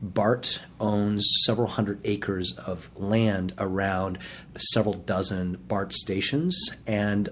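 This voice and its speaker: A man speaks with an American accent and a fairly low pitch. It is an unremarkable speaking voice with ordinary pitch variation. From Boston, Massachusetts. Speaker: state legislator, former prosecutor. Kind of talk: interview.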